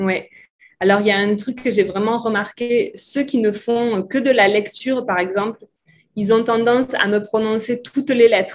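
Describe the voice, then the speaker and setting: With a southwestern French accent, a woman talks at a fairly high pitch and a fairly slow pace, her intonation fairly even. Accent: south-west French. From south-west France. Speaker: French tutor. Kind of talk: interview answer.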